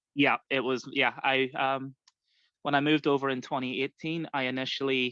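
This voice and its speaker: Bright, sharp tone over a quiet background, dry and close with no echo. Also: man. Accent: American. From Ireland, border area north and south. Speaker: fantasy wrestling handler. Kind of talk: casual podcast interview.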